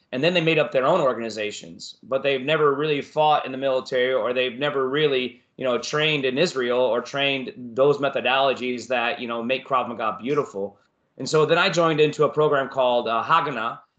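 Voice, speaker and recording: With an American accent, a man uses a normal speaking voice at a medium pitch and ordinary pitch variation. He moves at a fairly quick pace with hardly any pauses. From Florida. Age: 40s. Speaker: martial arts instructor. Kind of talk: casual interview.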